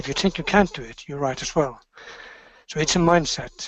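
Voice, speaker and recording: A man speaks with a Norwegian accent. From Norway. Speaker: business executive. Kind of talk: motivational talk. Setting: webinar. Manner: halting.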